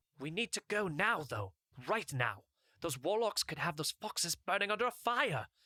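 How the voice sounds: In a put-on character voice, a man speaks high and at a moderate pace, his bright, sharp tone making big pitch swings in a dry, close sound with no echo.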